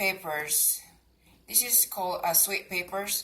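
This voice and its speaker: Medium-pitched woman in a Cebuano accent, fairly slow pace, ordinary pitch variation. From Philippines, Cebu. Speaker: gardening and cooking vlogger. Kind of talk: casual tutorial. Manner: hesitant, many fillers.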